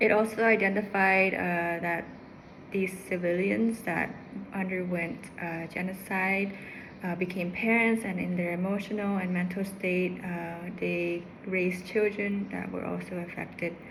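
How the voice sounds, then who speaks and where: A woman's medium-pitched voice, flat and monotone, at a fairly slow pace, with audible room echo. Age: 30s. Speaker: psychology student. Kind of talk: class presentation. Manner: halting, many fillers.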